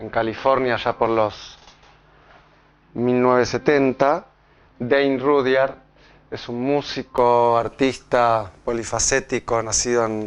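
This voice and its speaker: Delivered at a very slow pace with long, frequent pauses, the voice stays monotone and flat, with a slight Argentine accent. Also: man, medium pitch for a man. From Argentina. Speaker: pediatrician and astrology speaker. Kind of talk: public talk. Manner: halting, with many fillers and repetitions.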